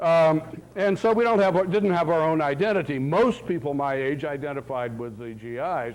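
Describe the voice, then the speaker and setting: Delivered at a moderate pace with lively intonation, the voice carries an audible room echo. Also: man, fairly high pitch for a man. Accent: American. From US South, Florida. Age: 60s. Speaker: professor. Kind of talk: lecture. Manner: animated.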